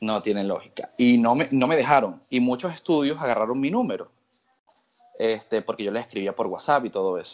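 A man with a normal speaking voice, medium pitch and ordinary pitch variation at a fairly quick pace. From Venezuela. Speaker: tattoo artist. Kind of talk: interview.

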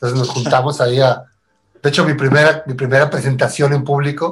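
Somewhat breathy and fairly high-pitched, a man speaks at a fairly quick pace with fairly even intonation. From Tijuana, Mexico. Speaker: musician. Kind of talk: casual chat.

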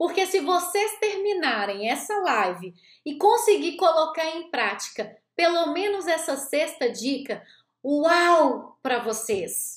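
A woman speaks at an extremely high pitch and a very slow pace. Her pitch swings very widely. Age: 40s. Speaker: life coach and therapist. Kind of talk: motivational talk from a recorded live stream. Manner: animated.

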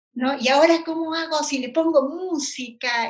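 At a fairly slow pace, a woman speaks with lively intonation. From Peru, Ilo (southern coast). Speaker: university lecturer and systems engineer. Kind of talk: interview. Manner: hesitant, many fillers and repetitions.

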